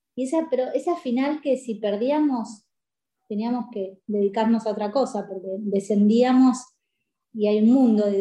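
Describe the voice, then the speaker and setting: This woman's fairly high, somewhat breathy voice has a dark, mellow tone, ordinary pitch variation and a moderate pace. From Paraguay. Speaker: sports coach. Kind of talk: interview.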